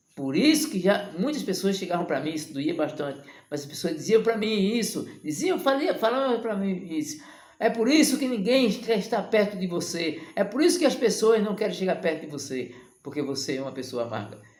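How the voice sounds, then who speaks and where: With audible room echo, a man speaks at a high pitch and a moderate pace, his pitch swinging very widely. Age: 60s. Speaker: evangelical preacher. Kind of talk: sermon. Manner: impassioned.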